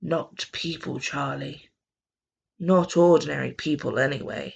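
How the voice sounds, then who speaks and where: A raspy put-on character voice at a fairly slow pace. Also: man. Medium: read story.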